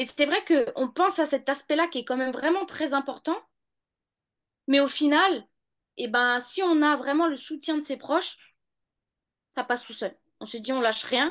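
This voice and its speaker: A woman with a high voice speaks at a moderate pace, with long, frequent pauses. The background is quiet. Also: ordinary pitch variation. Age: 30s. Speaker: law student and mother. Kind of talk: interview testimony.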